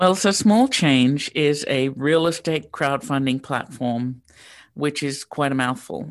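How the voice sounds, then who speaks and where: A woman with an Australian accent, very deep, low pitch and a very slow pace against a quiet background. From Sydney, Australia. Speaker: real estate crowdfunding founder. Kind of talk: interview. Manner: hesitant, frequent ums.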